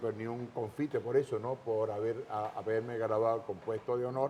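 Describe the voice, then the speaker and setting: A man speaks in a plain, everyday voice at medium pitch, moving at a moderate pace with fairly even intonation. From Panama, Los Santos province. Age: 60s. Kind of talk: testimony interview.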